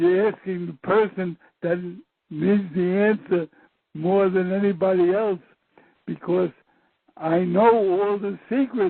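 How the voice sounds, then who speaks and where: A man with a high-pitched voice speaks very slowly, leaving long, frequent pauses, his intonation fairly even. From USA. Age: 70s. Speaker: former government scientist. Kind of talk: interview.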